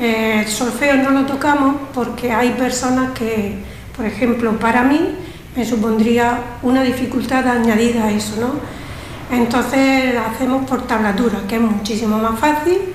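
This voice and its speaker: Against noticeable background noise and audible room echo, a woman talks at a fairly slow pace with a high pitch and fairly even intonation. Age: 60s. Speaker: music student. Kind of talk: radio interview.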